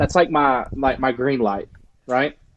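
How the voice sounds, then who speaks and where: Intonation here is fairly even, in a Southern US accent. The pace is fairly quick. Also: man. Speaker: dog trainer. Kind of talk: podcast guest interview answer. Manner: casual, conversational.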